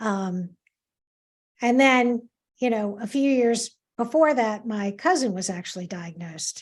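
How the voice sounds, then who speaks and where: Pausing long and often, a woman speaks at a fairly slow pace and fairly high pitch with lively intonation. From US Mid-Atlantic, Washington DC area. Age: 60s. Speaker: cancer patient. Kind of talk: interview testimony.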